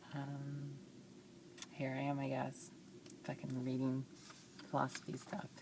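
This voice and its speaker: Noticeable background noise sits behind a woman whose very deep, low voice holds a flat monotone, moving fairly slowly with long, frequent pauses. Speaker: vlogger. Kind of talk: casual vlog monologue. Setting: in a car. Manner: hesitant, many fillers.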